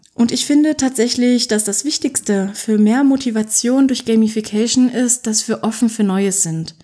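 A woman with a fairly high, somewhat breathy voice and a dark, mellow tone speaks at a moderate pace with ordinary pitch variation and hardly any pauses. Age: 20s. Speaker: podcast host, author and self-employed writer. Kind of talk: solo podcast monologue. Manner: casual, chatty.

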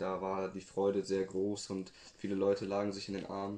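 A man speaks in a dark, mellow tone. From West Germany, Buxtehude (Lower Saxony). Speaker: interviewee on West German youth. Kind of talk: interview.

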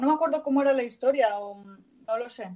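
A woman speaks at a moderate pace. Her pitch is high. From northern Spain. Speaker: podcast co-host. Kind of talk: casual chat; reading news aloud.

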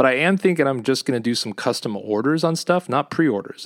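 In a very clean recording with a silent background and a dry, close sound with no echo, a man uses an ordinary speaking voice with ordinary pitch variation at a fairly quick pace. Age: 40s. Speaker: solo podcaster, van-life traveler and clothing entrepreneur. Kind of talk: casual solo monologue. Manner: relaxed, conversational with filler words.

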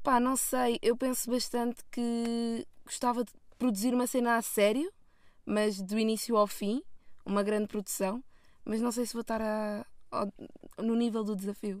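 A woman with a fairly high pitch talks fairly slowly, her intonation fairly even. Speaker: film student. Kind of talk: casual chat. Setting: in a car.

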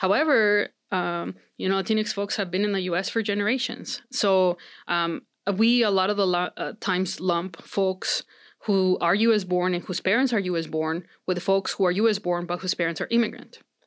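On a very clean recording with a silent background, a woman with a Spanish accent speaks at a moderate pace with fairly even intonation. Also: medium pitch for a woman. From Mexico. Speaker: psychology professor. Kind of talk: interview. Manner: many fillers and restarts.

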